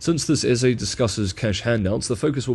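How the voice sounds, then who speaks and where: A man at a very fast pace, somewhat breathy, with ordinary pitch variation. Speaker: news analyst and video creator. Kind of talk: scripted narration reading an essay aloud.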